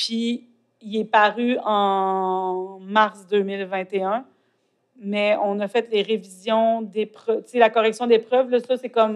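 A woman speaks at a fairly high pitch with monotone, flat intonation. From Quebec, Côte-Nord. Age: 40s. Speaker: poet and author. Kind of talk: interview. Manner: halting, searching for words.

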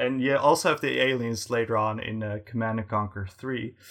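In a very clean recording with a silent background, a man with an American accent speaks in a bright, sharp tone and fairly even intonation. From United States. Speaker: gaming channel co-host. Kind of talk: casual interview chat. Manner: hesitant, many fillers.

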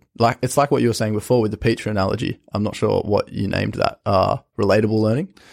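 A man's very fast delivery with hardly any pauses, fairly low pitch, and a dry, close sound with no echo, on a very clean recording with a silent background. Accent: Australian. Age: young (19). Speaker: university student. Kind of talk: casual interview.

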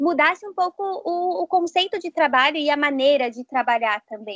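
In a dry, close recording with no echo, a woman speaks at a moderate pace with a high pitch and lively intonation. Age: 20s. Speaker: psychologist. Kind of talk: casual chat.

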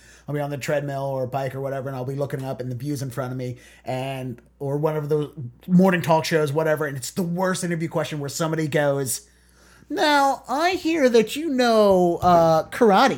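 A man with an American accent and an unremarkable speaking voice talks at a fairly quick pace with a fairly high pitch. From US Mid-Atlantic. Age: 30s. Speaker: podcast host and comedian. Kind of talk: casual interview.

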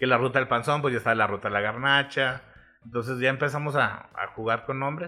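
A man with a plain, everyday voice speaks fairly quickly at medium pitch with fairly even intonation. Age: 30s. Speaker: food reviewer and marketer. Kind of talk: casual chat.

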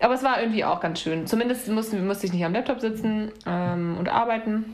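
Room echo and noticeable background noise surround a woman's voice. She speaks at a fairly quick pace and a fairly high pitch, with ordinary pitch variation. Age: 30s. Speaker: podcast host. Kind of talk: casual chat.

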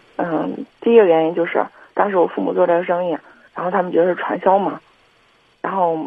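A woman's fairly low voice with ordinary pitch variation and a fairly quick pace. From Henan, China (Kaifeng). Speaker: caller. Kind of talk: call-in conversation. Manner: halting.

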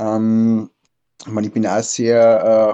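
A voice with a dark, mellow tone moves at a very slow pace, its sound dry and close with no echo. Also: man.

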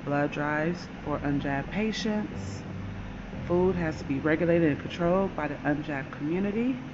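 Noticeable background noise sits under the recording. A woman speaks in a very deep, low voice with an intense tone. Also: lively intonation, moderate pace. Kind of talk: angry rant, fervent conspiracy-style monologue. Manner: intense, indignant, emphatic; declamatory, urgent, forceful delivery with dramatic pauses.

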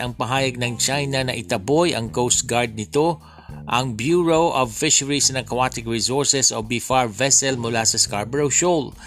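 Over music in the background, a man speaks at medium pitch and a moderate pace, with ordinary pitch variation and hardly any pauses. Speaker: news podcast host. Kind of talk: casual commentary; news reading.

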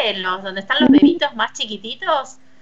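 A woman with a Rioplatense accent speaks with lively intonation. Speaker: radio host. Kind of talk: casual chat. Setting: remote broadcast from home.

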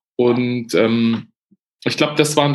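A man talks with fairly even intonation. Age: 40s. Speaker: journalist, former foreign correspondent. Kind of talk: podcast interview. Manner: halting, many restarts and fillers.

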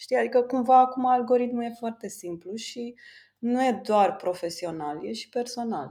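A woman speaks in a high, dark, mellow voice, her loudness swinging widely. The recording is very clean, with a silent background. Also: lively intonation, moderate pace. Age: 30s. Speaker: designer and entrepreneur. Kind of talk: interview.

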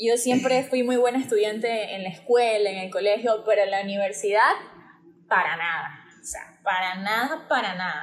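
This voice moves at a moderate pace with ordinary pitch variation and big swings in loudness. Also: woman, fairly high pitch for a woman. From Guayaquil, Ecuador. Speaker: dentist. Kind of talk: casual interview.

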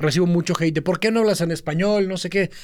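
Fairly quick speech from a man in a high register, carrying ordinary pitch variation. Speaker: podcast co-host, social media marketer. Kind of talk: casual chat. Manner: mixes Spanish and English.

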